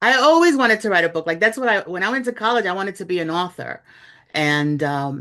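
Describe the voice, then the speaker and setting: A woman talks at a very fast pace with a slight Bronx accent. The background is quiet. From New York City, the Bronx. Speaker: journalist and author. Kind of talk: interview. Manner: conversational, with fillers.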